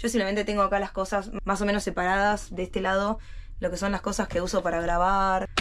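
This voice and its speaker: A woman speaks at a very fast pace and a medium pitch, her intonation monotone and flat. Her loudness stays very even over light background noise. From Argentina. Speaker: cruise ship crew member and vlogger; vlogger. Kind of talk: video tour vlog. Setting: ship cabin. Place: home room. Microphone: phone near.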